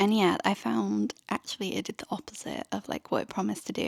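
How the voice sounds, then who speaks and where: A woman with an English accent speaks at a moderate pace on a very clean recording with a silent background, the sound dry and close with no echo. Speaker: lifestyle vlogger. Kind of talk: casual vlog chat.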